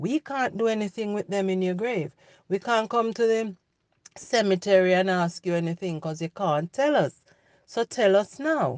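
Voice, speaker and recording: A plain, everyday voice from a woman, medium in pitch, with lively intonation at a moderate pace, in a dry, close sound with no echo. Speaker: podcast host. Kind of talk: motivational monologue. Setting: solo podcast recording. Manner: encouraging, direct.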